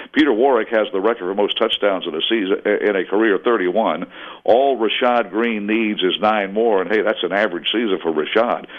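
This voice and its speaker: A man's fairly low voice at a fairly quick clip. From Florida, Jacksonville. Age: 60s. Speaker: sports play-by-play broadcaster. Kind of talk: radio interview. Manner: animated.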